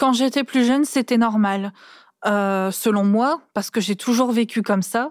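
A woman with an unremarkable speaking voice and a fairly high pitch talks at a fairly slow pace. The very clean recording has a silent background, a dry, close sound with no echo, and very even loudness. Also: ordinary pitch variation. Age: 20s. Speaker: daughter of an incarcerated mother. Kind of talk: testimony. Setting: seated on the floor, cosy studio.

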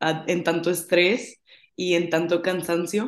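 With monotone, flat intonation, a woman talks in a fairly low pitch. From Monterrey, Mexico. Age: 20s. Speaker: finance student. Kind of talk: casual chat.

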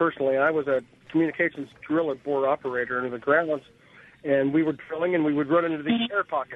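A man with an American accent talks at a very fast pace in a fairly high voice. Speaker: caller, former drill operator. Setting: phone call.

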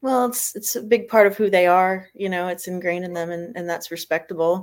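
A woman speaks at a fairly quick pace in an ordinary speaking voice, with medium pitch and ordinary pitch variation. She has an American accent. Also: very clean recording, silent background. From Florida. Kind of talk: interview. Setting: livestream.

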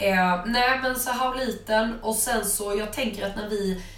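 With audible room echo and noticeable background noise, a woman speaks at a fairly slow pace and ordinary pitch variation. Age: 20s. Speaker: spiritual wellness podcast co-host. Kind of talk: casual chat.

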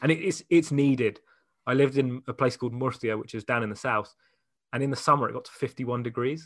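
Talking at a very fast pace, a man speaks with an English accent. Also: medium pitch for a man. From England. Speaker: radio DJ. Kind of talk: casual chat. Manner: animated.

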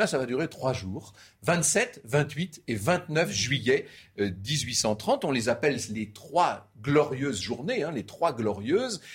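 A somewhat breathy man speaks at a very slow pace with very wide pitch swings, on a very clean recording with a silent background. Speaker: history storyteller. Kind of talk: history talk show.

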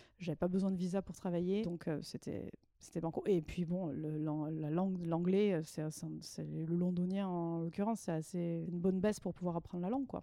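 A woman with a plain, everyday voice talks at a moderate pace, her fairly low pitch kept to fairly even intonation. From southwestern France. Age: 30s. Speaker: former expatriate. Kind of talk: casual chat.

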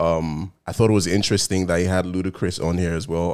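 A man's very deep, low voice, flat and monotone, at a fairly quick pace on a very clean recording with a silent background. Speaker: podcast host. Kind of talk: casual chat.

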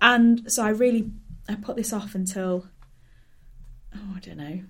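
In a Hull accent, a woman speaks slowly-ish at a fairly high pitch, somewhat breathy, with ordinary pitch variation and a fairly slow pace. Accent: Hull accent, northern English. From Hull, northern England. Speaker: stand-up comedian. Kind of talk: casual interview chat.

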